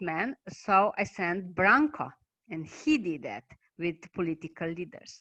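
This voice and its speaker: In a Slovenian accent, the speaker moves at a fairly slow pace with very wide pitch swings and a bright, sharp tone, the sound dry and close with no echo. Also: woman. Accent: non-native English, Slovenian. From Slovenia, Maribor. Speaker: basic income activist and researcher. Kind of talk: online talk presentation. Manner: halting.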